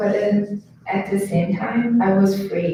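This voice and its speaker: Noticeable background noise around a woman talking at a fairly slow pace. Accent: Chinese. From China. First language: Chinese. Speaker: student. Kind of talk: reading aloud personal essay. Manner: halting.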